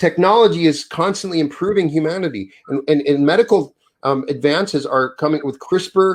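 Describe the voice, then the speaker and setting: In an ordinary speaking voice, a man with an American accent talks at a fairly high pitch with ordinary pitch variation. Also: moderate pace. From Wyoming, US. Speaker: author. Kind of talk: interview conversation.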